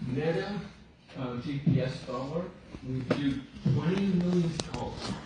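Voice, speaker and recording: Fairly slow speech with ordinary pitch variation, audible room echo and noticeable background noise. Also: man. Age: 70s. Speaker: doctor and professor. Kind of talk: formal presentation. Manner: halting.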